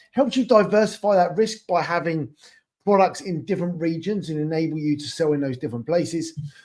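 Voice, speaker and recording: In a British accent, the voice moves at a fairly quick pace with a dark, mellow tone and ordinary pitch variation. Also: man. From England. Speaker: e-commerce expansion consultant. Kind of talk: webinar presentation. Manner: casual, with filler words.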